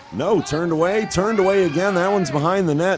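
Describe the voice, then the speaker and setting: A man with an American accent at a fairly quick pace, over noticeable background noise. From US Midwest, Cleveland. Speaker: hockey announcer and voice actor. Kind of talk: live commentary; casual chat. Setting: ice rink. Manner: high energy, animated; pitched high, above normal range.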